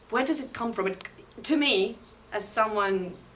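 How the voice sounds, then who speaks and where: A woman's voice over noticeable background noise. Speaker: book reviewer. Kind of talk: casual talk to camera. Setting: outdoors.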